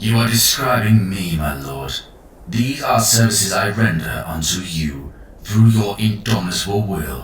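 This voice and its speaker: Amid clear background noise, a man speaks in a put-on character voice at a very deep, low pitch with very wide pitch swings and a moderate pace. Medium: read story. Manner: fawning, obsequious.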